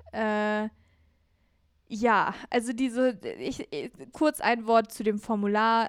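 A woman's fairly high voice, monotone and flat, at a very slow pace with long, frequent pauses, in a very clean recording with a silent background. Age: 20s. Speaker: podcast co-host, video producer. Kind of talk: casual chat.

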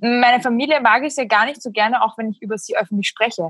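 She talks at a very fast pace. The woman has a Slovak accent. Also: dry, close sound with no echo. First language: Slovak (speaking German). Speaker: writer and essayist. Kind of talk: casual interview chat.

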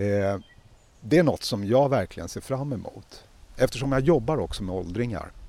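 The man has a dark, mellow tone and a medium pitch. He talks at a moderate pace with lively intonation. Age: 50s. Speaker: podcast co-host. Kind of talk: casual chat.

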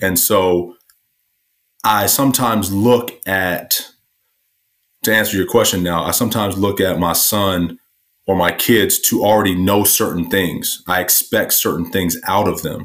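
A man uses a plain, everyday voice, fairly low in pitch with fairly even intonation, at a fairly slow pace. The recording is very clean, with a silent background. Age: 40s. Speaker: entrepreneur and author. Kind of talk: casual interview.

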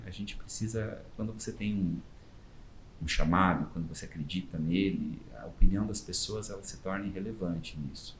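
Audible room echo surrounds a man whose voice is somewhat breathy and fairly low in pitch. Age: 40s. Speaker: volunteer costumed superhero, NGO founder. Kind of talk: interview.

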